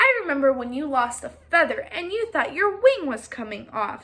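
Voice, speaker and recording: A woman's put-on character voice, high in pitch, with very wide pitch swings and a moderate pace. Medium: read story.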